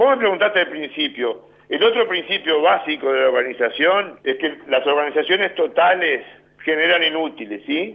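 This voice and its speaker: A man speaks at a moderate pace with a Uruguayan accent. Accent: Uruguayan Spanish (Rioplatense). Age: 60s. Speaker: prison director. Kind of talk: interview.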